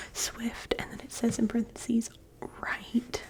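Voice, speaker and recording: Soft-spoken and high-pitched, a woman talks at a fairly slow pace with noticeable background noise behind her. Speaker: ASMR content creator. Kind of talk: ASMR magazine flip-through, casual talk to camera. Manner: soft-spoken, casual, chatty.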